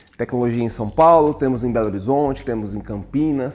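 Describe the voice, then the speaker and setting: With music behind the voice, the talking goes at a moderate pace. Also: man. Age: 40s. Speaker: technology and innovation head. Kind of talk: casual interview chat.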